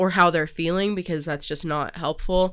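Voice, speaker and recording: In a very clean recording with a silent background, a woman speaks at a moderate pace with fairly even intonation. She has an ordinary speaking voice, fairly low in pitch. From US, moved between states. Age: 20s. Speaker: podcast host and doula. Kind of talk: solo monologue, personal introduction.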